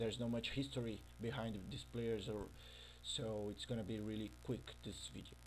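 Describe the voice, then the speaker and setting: A man's medium-pitched voice with vocal fry and a Brazilian accent, at a moderate pace. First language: Portuguese. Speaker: gaming youtuber. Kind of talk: casual commentary over gameplay. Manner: halting, with fillers.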